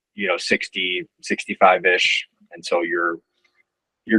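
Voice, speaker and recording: The recording is dry and close, with no echo at all. It's a man's voice. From US, Southern California (Orange County). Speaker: podcast guest, friend of host. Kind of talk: casual chat.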